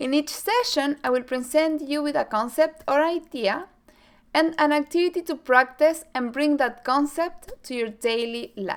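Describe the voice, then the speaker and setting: A woman speaks in a Chilean accent with lively intonation. Her pitch is high and her pace moderate. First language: Spanish. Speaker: mental performance coach. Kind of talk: scripted presentation.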